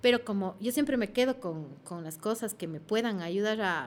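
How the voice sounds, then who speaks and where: Her pitch is medium for a woman and moves with ordinary variation. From Ecuador. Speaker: actress and comedian. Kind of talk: casual interview chat. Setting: studio.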